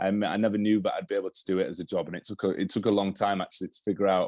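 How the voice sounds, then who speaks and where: A man rushes along at a very fast pace over a quiet background. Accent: Yorkshire. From northern England, Yorkshire (Halifax). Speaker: television director. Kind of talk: interview. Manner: halting, many restarts.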